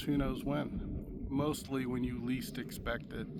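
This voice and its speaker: Audible room echo surrounds a man with an American accent. His medium-pitched voice stays fairly even in intonation. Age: 60s. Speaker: firearms youtuber. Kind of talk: casual vlog talk to camera. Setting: outdoors at shooting range. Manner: halting, many fillers.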